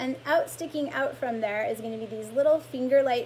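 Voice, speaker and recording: A woman speaks in a plain, everyday voice. Her pitch variation is ordinary. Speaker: lymphatic massage therapist. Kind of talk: live-stream health talk. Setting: live social media video stream.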